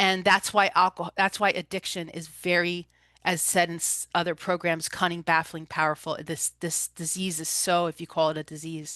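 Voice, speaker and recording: A woman with a New Jersey accent speaks at a moderate pace in a fairly low, bright, sharp voice with monotone, flat intonation, the sound dry and close with no echo and the background quiet. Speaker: holistic recovery coach and energy healer. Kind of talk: presentation talk.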